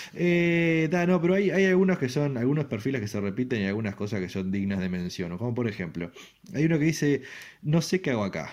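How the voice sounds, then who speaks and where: Against a quiet background, a man of medium pitch with a Uruguayan accent talks at a fairly quick pace with very wide pitch swings. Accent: Uruguayan Rioplatense Spanish. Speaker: radio show host. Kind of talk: comedic monologue. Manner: halting, many fillers and repetitions.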